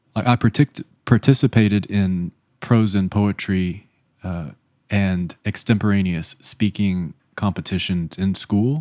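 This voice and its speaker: Over a silent background in a very clean recording, a man with an American accent speaks at a fairly slow pace and fairly low pitch in a dark, mellow tone. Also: ordinary pitch variation, dry, close sound with no echo. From US South. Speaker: vlogger. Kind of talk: self-reflective vlog.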